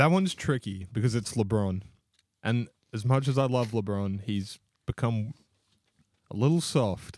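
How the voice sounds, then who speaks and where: Medium-pitched male speech with an Australian accent, marked by long, frequent pauses. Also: ordinary pitch variation, moderate pace. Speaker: podcast co-host. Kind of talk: casual chat.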